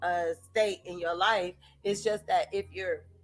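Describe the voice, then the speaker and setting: This is an unremarkable speaking voice. The pace is fairly slow. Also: woman. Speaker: self-help video host. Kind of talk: casual talk-to-camera monologue.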